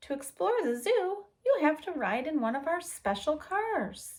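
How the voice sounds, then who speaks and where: A woman performs a squeaky, high put-on character voice. Her pitch swings very widely at a moderate pace. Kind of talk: bedtime story. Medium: read story. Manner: friendly, explanatory.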